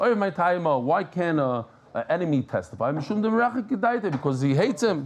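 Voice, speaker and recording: A man talks with a New York accent in a high pitch. His pitch swings very widely. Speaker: Talmud teacher. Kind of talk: Talmud lesson. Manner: animated.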